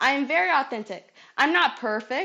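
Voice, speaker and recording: Against a quiet background, a woman projects a raised, high-pitched voice with a bright, sharp tone and lively intonation. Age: 20s. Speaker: health segment presenter, college student. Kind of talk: scripted health advice, then personal confession. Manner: casual, candid.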